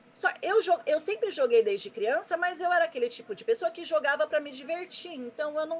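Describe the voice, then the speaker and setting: Speaking at a fairly quick pace with hardly any pauses, a woman uses an extremely high pitch, very wide pitch swings and big swings in loudness. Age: 30s. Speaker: gamer and streamer, presenter. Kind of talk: interview on live stream. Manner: fast.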